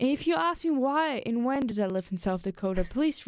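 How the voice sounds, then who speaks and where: A woman talks in an animated tone at a moderate pace, her intonation lively. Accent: German. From Germany. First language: German. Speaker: podcast host. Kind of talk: casual chat.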